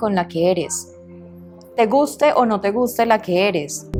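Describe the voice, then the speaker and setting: Music plays in the background as a woman talks at a fairly slow pace. Her pitch varies in an ordinary way. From Medellín, Colombia. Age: 30s. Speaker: radio and TV presenter, voice actress. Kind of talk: interview answer.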